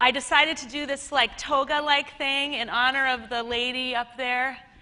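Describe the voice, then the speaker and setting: A woman with a Minnesota accent speaks in a raised, projected voice at a high pitch, her animated, playful tone carrying ordinary pitch variation at a moderate pace over noticeable background noise. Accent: Minnesota American. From Minnesota, US Midwest. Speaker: conference speaker, web TV host. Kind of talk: conference talk. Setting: stage with audience.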